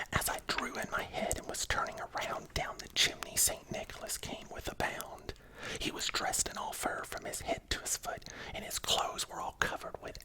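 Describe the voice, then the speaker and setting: A man whispering at a moderate pace, with noticeable background noise. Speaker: ASMR content creator. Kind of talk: whispered ASMR storybook reading. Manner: whispered, soft, cozy.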